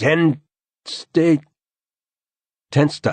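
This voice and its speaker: A croaky, put-on character voice sits over a quiet background. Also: man. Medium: read story.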